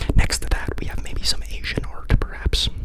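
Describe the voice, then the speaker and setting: Whispered male speech at a moderate pace, noticeable background noise behind it. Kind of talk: ASMR whisper ramble to camera. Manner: casual, chatty, self-deprecating, narrating while moving.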